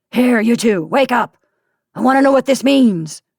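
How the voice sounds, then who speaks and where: This raspy, gruff put-on character voice sits at a fairly high pitch and moves at a moderate pace, with dry, close sound and no echo. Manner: demanding, stern.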